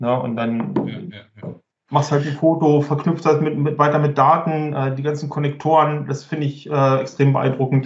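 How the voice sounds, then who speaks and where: A somewhat breathy man at a fairly high pitch, moderate in pace, with monotone, flat intonation. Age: 40s. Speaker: business applications expert. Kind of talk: casual chat.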